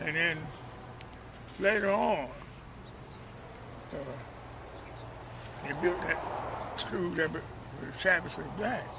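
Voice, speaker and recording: A high-pitched man with an American accent talks very slowly, with long, frequent pauses. Noticeable background noise can be heard. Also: ordinary pitch variation. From North Carolina. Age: 80s+. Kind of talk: interview answer.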